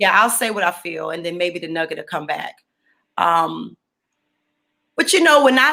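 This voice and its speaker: A woman's voice with big swings in loudness and long, frequent pauses. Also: moderate pace. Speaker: poet and author. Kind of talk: interview.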